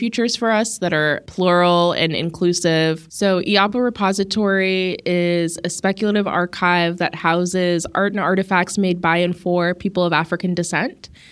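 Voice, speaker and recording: A woman with an ordinary speaking voice talks at a fairly low pitch and a moderate pace with fairly even intonation. The recording is very clean with a silent background. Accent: American. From US West, Las Vegas. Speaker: artist and arts director. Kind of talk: interview.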